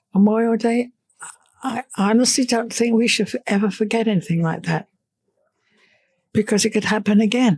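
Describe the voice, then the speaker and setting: A woman's fairly high, somewhat breathy voice in an English accent, at a moderate pace with fairly even intonation and long, frequent pauses. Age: 80s+. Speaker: elderly civilian interviewee. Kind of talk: casual interview.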